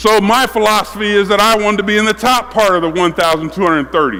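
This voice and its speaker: Over noticeable background noise, a man with a high voice speaks fairly quickly in a raised, projected, animated way, with ordinary pitch variation. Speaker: basketball coach. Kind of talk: coaching clinic with players on court.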